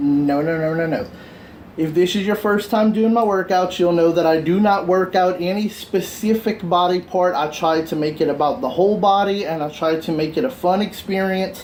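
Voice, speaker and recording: A man's high-pitched voice with ordinary pitch variation at a moderate pace, over noticeable background noise. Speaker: fitness instructor. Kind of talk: workout instruction.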